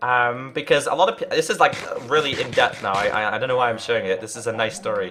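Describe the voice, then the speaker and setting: A man talks very fast at a medium pitch with ordinary pitch variation, over noticeable background noise. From northern England, Liverpool. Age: 20s. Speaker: gaming streamer. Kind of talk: casual live-stream chat. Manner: halting, many fillers and repeats; earnest.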